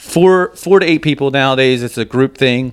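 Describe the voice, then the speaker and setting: An ordinary speaking voice from a man, medium in pitch, moderate in pace, and with ordinary pitch variation. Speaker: racer. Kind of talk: casual chat.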